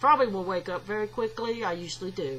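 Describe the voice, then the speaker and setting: A woman with a Southern US accent at a fairly quick pace. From US South. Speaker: video blogger. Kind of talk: casual vlog monologue. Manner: halting, with frequent fillers.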